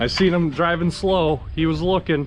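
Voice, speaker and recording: This man's voice comes with noticeable background noise behind it. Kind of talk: casual talk to camera.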